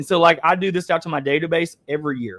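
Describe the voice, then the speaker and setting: An animated man with an Appalachian accent talks at a very fast pace in a dry, close sound with no echo. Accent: Appalachian Southern US. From Eastern Kentucky, US. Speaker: webinar host, real estate coach. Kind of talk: webinar coaching talk.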